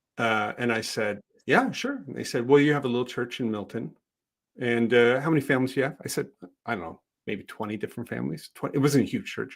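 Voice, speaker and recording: Here a man talks at a very fast pace in a Canadian accent. His medium-pitched voice carries vocal fry and ordinary pitch variation. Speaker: social responsibility consultant. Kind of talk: podcast interview.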